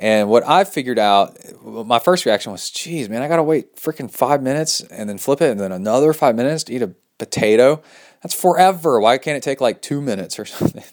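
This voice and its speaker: A man with a Texas accent talking at a very fast pace. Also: medium pitch for a man, lively intonation. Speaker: podcast host and triathlete. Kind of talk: casual solo podcast talk. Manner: animated.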